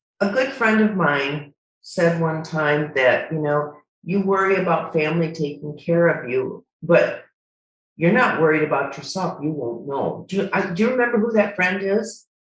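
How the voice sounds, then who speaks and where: A woman's fairly low voice with an American accent, very wide pitch swings and a fairly slow pace, with audible room echo. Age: 70s. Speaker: retired nurse. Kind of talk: casual chat. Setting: video call.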